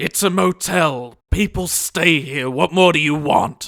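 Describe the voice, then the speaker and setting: A raspy put-on character voice from a man, fairly high-pitched and fairly slow, with lively intonation and a dry, close sound with no echo. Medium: comedy sketch. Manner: gruff, menacing.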